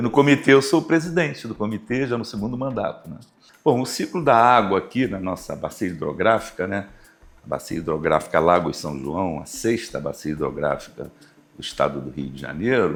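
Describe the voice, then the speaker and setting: A man with vocal fry and a fairly low pitch talks at a moderate pace. His pitch swings very widely, and his loudness shifts a lot. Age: 60s. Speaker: university professor and river basin committee president. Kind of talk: interview.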